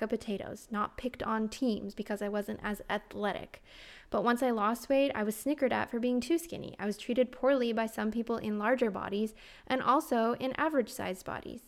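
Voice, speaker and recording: A woman with an ordinary speaking voice talks at a fairly quick pace and fairly high pitch, with ordinary pitch variation, on a very clean recording with a silent background. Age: 30s. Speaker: health and life coach, podcast host. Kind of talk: reading aloud from her memoir.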